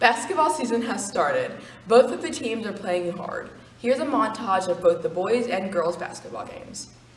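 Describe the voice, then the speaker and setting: Light background noise and audible room echo surround a woman speaking at a moderate pace. Her intonation is lively, with big swings in loudness. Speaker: news presenter. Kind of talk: school news announcement. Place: hall. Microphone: camera far.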